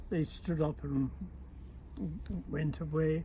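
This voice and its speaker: In a Channel Islands accent, a man talks at a very slow pace. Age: 80s+. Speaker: war occupation survivor. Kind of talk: personal reminiscence.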